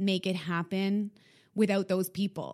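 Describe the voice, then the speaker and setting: This woman has a plain, everyday voice with a Canadian accent. Her pitch is medium and her pace moderate. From Canada, Winnipeg. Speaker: fitness studio founder. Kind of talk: casual interview.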